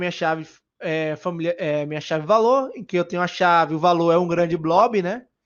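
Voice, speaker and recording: Speaking in a Bahian accent, a high-pitched man talks at a fairly quick pace with fairly even intonation. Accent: Bahian Brazilian Portuguese. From Brazil, Bahia. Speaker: software engineer speaker. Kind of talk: conference talk. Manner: casual, hesitant with fillers.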